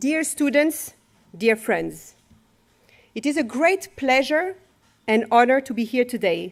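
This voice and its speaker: With a French accent, a woman speaks in a high voice at a fairly slow pace, using lively intonation and long, frequent pauses. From France. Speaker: professor. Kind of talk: formal speech.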